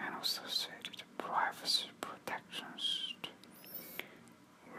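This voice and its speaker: Someone whispers over noticeable background noise. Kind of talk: whispered news article reading. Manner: whispered.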